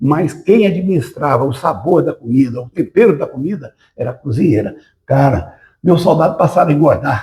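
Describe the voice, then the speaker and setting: A man with a fairly high pitch and a dark, mellow tone talks at a moderate pace with lively intonation. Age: 80s+. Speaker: retired military police officer. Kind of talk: interview.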